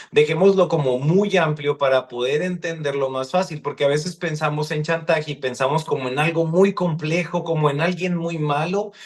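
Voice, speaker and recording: This man's voice sits fairly high in pitch and sounds somewhat breathy. His pitch varies in an ordinary way. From Mexico, Sonora (Hermosillo area). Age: 30s. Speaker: psychologist. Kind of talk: podcast interview.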